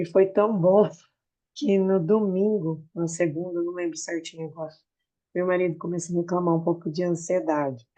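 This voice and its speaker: A fairly low female voice with a dark, mellow tone. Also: fairly even intonation, moderate pace. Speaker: student. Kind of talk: class discussion.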